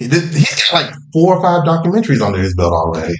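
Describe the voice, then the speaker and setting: Vocal fry runs through a man's very fast speech, which makes very wide pitch swings. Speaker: podcast host. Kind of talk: casual chat. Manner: animated.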